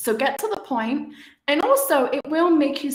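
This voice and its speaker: The voice carries a British accent and lively intonation at a fairly slow pace. Audible room echo is present. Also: woman. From UK. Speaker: communication coach and podcaster. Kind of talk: live webinar talk. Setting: live stream.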